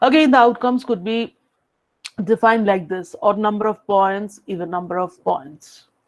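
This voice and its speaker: A woman with an ordinary speaking voice talks at a moderate pace. Her pitch is medium, with ordinary variation. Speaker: university lecturer. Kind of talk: lecture.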